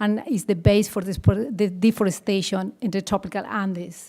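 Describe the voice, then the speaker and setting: A woman speaks at a medium pitch and a fairly quick pace with a Bolivian accent. Her intonation is fairly even, and the recording is very clean with a silent background. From rural Bolivia. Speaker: conservation worker with farmers. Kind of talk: panel presentation. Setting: conference panel with audience.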